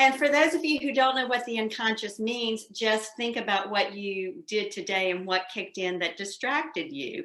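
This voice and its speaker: Speaking in a Southern US accent, a woman with a fairly high pitch keeps a moderate pace with hardly any pauses. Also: lively intonation. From US South. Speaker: psychoanalyst. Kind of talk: interview.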